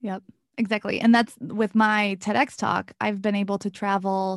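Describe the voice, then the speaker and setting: A woman with an American accent speaks in a plain, everyday voice at a fairly high pitch, her intonation fairly even, the sound dry and close with no echo against a quiet background. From US small town. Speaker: podcast host, abuse awareness speaker. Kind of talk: interview.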